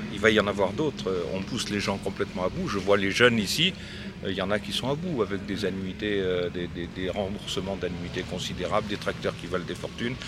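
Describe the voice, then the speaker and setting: A man with a fairly low voice speaks at a fairly quick pace with ordinary pitch variation over noticeable background noise. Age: 70s. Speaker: dairy farmer. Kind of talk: interview.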